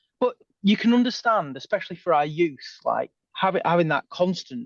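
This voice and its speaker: A man with a northern English accent talks at a moderate pace with lively intonation, his voice dry and close with no echo against a quiet background. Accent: northern English twang. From northern England. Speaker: former police officer turned sci-fi author. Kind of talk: podcast interview.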